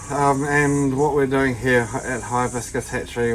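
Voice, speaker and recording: A man with a New Zealand accent at a fairly slow pace, with noticeable background noise. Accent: Kiwi (New Zealand). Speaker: tortoise keeper / YouTuber. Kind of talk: casual tutorial vlog.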